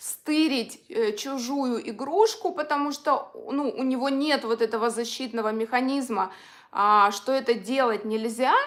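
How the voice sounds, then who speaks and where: A woman's high-pitched voice at a very slow pace. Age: 60s. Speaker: psychology coach. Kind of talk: live-stream talk. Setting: live video stream. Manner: casual, with many filler sounds.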